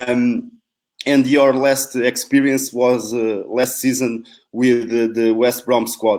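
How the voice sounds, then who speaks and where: Speaking very slowly, a man with a Portuguese accent keeps a medium pitch and a monotone, flat intonation. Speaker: football coach and professor. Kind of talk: interview. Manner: slow, deliberate.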